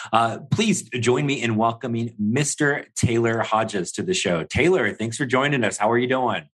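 A man with an ordinary speaking voice, ordinary pitch variation and hardly any pauses. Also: medium pitch for a man, moderate pace. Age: 40s. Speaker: podcast host and franchise consultant. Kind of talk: scripted narration; interview.

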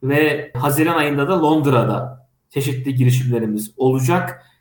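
Somewhat breathy, a man's voice sits fairly high in pitch. He keeps a moderate pace. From Turkey, Kastamonu. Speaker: head of an AI policy association and TV tech show moderator. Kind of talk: interview.

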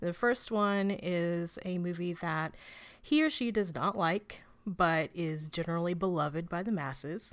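A woman's ordinary speaking voice, fairly low in pitch, at a fairly slow pace with ordinary pitch variation, on a very clean recording with a silent background. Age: 30s. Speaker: film website editor and podcaster. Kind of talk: casual chat.

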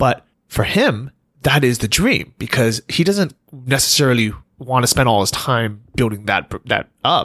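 A man with an unremarkable speaking voice talks at a fairly slow pace and medium pitch. His intonation is lively while his loudness stays very even. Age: 30s. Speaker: podcast host. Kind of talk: casual chat.

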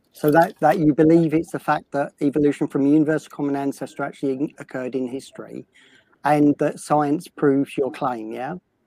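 With a British accent and a dark, mellow tone, a man speaks fairly quickly at a fairly high pitch with fairly even intonation, the sound dry and close with no echo on a very clean recording with a silent background. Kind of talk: casual discussion.

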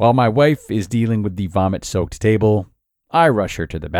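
Quiet background behind an unforced reading voice

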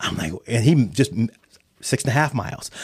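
Words arrive at a fairly quick pace in a somewhat breathy voice. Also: man. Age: 40s. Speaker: financial services manager. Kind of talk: interview.

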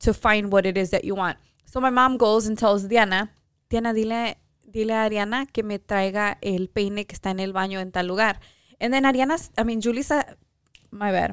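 On a very clean recording with a silent background, a woman speaks at a fairly quick pace in a fairly high pitch with fairly even intonation. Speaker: podcast co-host. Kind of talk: casual chat. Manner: proper-sounding when speaking Spanish.

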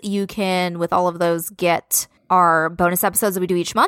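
Speaking with an American accent at a moderate pace, a woman of medium pitch comes across with a dry, close sound and no echo. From California. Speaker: podcast co-host. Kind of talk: casual chat.

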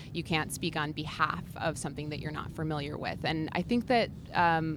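A woman with a very deep, low voice talks at a fairly quick pace. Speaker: social media strategist. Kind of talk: trade show interview. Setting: trade show floor.

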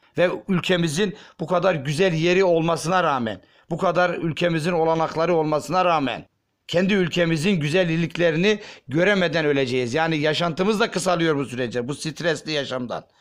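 On a very clean recording with a silent background, a man with a high pitch speaks at a moderate pace, his pitch varying in an ordinary way. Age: 40s. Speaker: factory worker. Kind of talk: street interview testimony.

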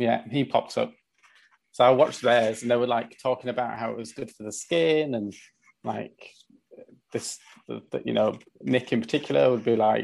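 A man talks with a Yorkshire accent. His pace is moderate. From northern England (Leeds, West Yorkshire). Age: 30s. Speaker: artisan grooming product maker. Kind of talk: casual interview chat.

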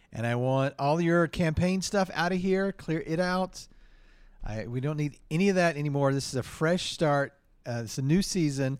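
A man with an American accent has a normal speaking voice. His pitch is fairly high, with ordinary variation, at a moderate pace. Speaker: improv comedian and podcast host. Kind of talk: improvised comedy. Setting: stage with audience.

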